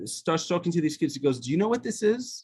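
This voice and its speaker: A man speaks with an Israeli accent. His intonation is lively. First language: Hebrew. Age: 50s. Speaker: author. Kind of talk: testimony. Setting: video call. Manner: halting.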